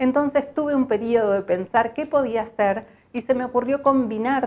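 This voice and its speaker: A woman in an ordinary speaking voice talks at a fairly slow pace with ordinary pitch variation. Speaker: voice-over artist. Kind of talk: personal story told to camera.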